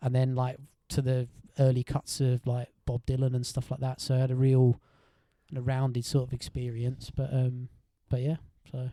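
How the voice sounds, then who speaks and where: In an Essex accent, a man speaks at a moderate pace and medium pitch, his tone dark and mellow, his intonation monotone and flat. Long, frequent pauses break up the dry, close sound with no echo. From Essex, England. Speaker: musician in a rock band. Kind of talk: casual chat.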